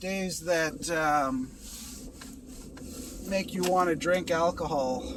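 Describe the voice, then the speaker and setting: Amid noticeable background noise, a man with a high-pitched voice speaks very slowly, with long, frequent pauses and ordinary pitch variation. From Canada. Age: 50s. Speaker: vlogger in recovery from alcohol. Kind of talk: casual vlog monologue. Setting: in a car while driving. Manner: halting, with fillers and restarts.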